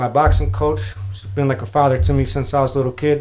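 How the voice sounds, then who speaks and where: Fairly quick pace with an American accent and ordinary pitch variation. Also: man. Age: 40s. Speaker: podcast host. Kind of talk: casual interview chat.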